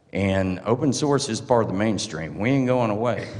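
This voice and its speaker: In a Southern US accent, a man with a fairly low pitch talks with lively intonation amid audible room echo. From US South. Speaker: open source advocate. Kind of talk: conference talk. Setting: stage with audience. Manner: casual, joking.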